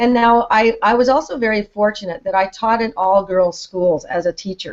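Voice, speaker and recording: A woman with an unremarkable speaking voice, a moderate pace and ordinary pitch variation. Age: 60s. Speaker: retired teacher and author. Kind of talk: casual interview chat.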